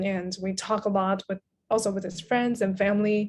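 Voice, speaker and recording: In a Chinese accent, a woman speaks at medium pitch with monotone, flat intonation. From Taiwan. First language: Mandarin Chinese. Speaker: writer and translator. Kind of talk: interview conversation.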